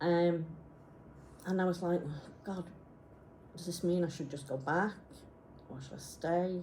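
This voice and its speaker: Heard with audible room echo, a woman speaks fairly slowly with long, frequent pauses and big swings in loudness. Her pitch is fairly low and her intonation fairly even. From Isle of Man, Yorkshire and Wales. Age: 50s. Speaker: graphic designer. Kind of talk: personal presentation. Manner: halting.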